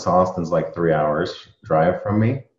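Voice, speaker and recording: Very deep and low in pitch, a man speaks at a moderate pace with fairly even intonation, and room echo is audible. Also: quiet background. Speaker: interview guest. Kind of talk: interview answer. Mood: relaxed conversational. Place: home room. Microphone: video call.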